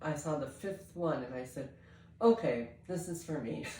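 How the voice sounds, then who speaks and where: Over noticeable background noise and audible room echo, a woman speaks with a very deep, low pitch. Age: 70s. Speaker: fitness coaching client. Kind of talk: testimony. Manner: halting.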